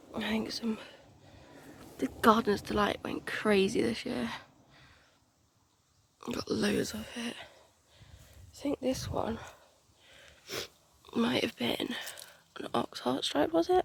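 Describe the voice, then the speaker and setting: Speaking very slowly with a British accent, a woman leaves long, frequent pauses. Her loudness swings widely, and there is noticeable background noise. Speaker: home gardener. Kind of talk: casual garden tour talk to camera. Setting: outdoors.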